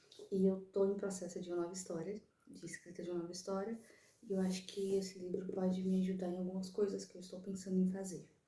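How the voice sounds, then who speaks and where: A woman's dark, mellow, somewhat breathy voice at medium pitch, monotone and flat, at a very fast pace, with audible room echo. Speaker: vlogger, mother and writer. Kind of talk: casual vlog talk to camera. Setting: in a car. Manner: soft-spoken.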